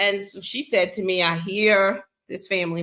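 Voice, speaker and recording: A woman with an American accent, animated in tone, at a moderate pace with ordinary pitch variation. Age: 60s. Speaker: talk show host. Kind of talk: casual talk show monologue. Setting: live stream.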